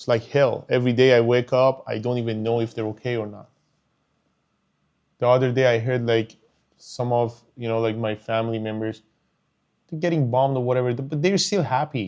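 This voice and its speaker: A man with a Persian accent speaks with long, frequent pauses. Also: medium pitch for a man. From Iran. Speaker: YouTuber, commentator. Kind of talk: personal commentary monologue. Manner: emotional, animated; halting, repeating words.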